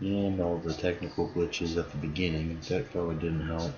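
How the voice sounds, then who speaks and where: Very deep and low in pitch, a man speaks at a moderate pace in a somewhat breathy voice with ordinary pitch variation. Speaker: gaming streamer. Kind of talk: live stream gameplay commentary. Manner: casual, talking to himself.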